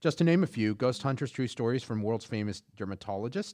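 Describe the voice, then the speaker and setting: With an American accent, a man talks in an ordinary speaking voice at medium pitch and moderate pace, with ordinary pitch variation against a quiet background. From Houston, Texas. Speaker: podcast co-host. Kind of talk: casual chat with read-out research.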